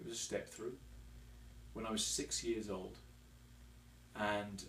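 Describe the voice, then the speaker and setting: The recording carries audible room echo and noticeable background noise. A man speaks at a moderate pace. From England, Devon. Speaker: motorcyclist and construction worker. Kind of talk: interview. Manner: hesitant, many fillers.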